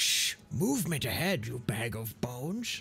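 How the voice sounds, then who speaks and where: With clear background noise behind him, a man speaks at a moderate pace and medium pitch with lively intonation. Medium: actual play. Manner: curt, commanding, wry.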